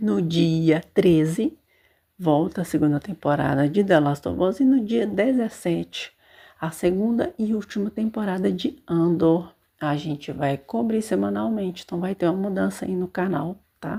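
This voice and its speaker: A soft-spoken woman with a dark, mellow tone, fairly low pitch, lively intonation and a fairly slow pace, on a very clean recording with a silent background. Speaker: podcast host reviewing books and series. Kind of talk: casual monologue. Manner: hesitant fillers.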